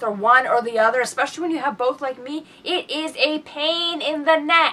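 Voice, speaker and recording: Raising and projecting her high-pitched voice, a woman speaks over noticeable background noise. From Britain. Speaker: podcast co-host. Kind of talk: casual chat.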